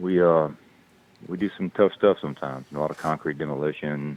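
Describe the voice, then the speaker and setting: A man with a Southern US accent talks in a very deep, low voice with fairly even intonation at a moderate pace. Noticeable background noise runs underneath. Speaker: actor and construction business owner. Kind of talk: casual chat. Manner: halting.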